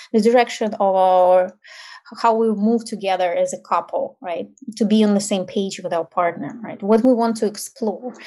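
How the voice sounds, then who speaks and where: A woman with a Ukrainian accent, a dark, mellow tone, fairly even intonation and a moderate pace, over a quiet background. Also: medium pitch for a woman. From Ukraine. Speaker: intimacy and tantra coach. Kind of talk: interview.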